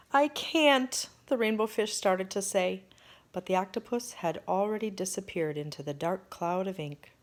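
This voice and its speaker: A woman with medium pitch and an unremarkable speaking voice talks at a moderate pace with lively intonation, in a very clean recording with a silent background. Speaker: storyteller. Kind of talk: children's picture book read-aloud.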